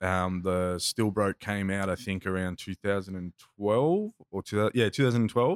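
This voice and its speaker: A man with an Australian accent and a fairly low pitch keeps a fairly even intonation, recorded very cleanly against a silent background with a dry, close sound and no echo. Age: 30s. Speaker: plumber and rapper, former political candidate. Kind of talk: casual chat. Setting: studio.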